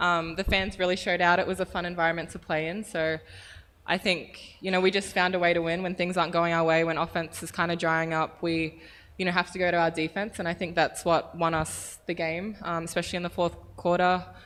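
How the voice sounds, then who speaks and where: Against a quiet background, a woman with an Australian accent talks at a fairly quick pace in a fairly low, monotone voice with flat intonation. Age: young. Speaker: professional basketball player. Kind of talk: press conference answers. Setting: press conference room.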